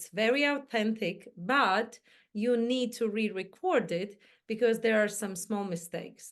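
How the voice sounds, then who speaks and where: Against a quiet background, a woman with a non-native accent speaks at a fairly slow pace and a fairly high pitch, with ordinary pitch variation. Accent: foreign accent, imperfect English. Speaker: mindset coach and entrepreneur. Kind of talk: interview chat.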